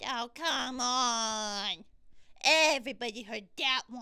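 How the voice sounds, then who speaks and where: A put-on character voice, female-sounding and high in pitch, moves at a very slow pace. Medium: solo performance. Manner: playful, jokey.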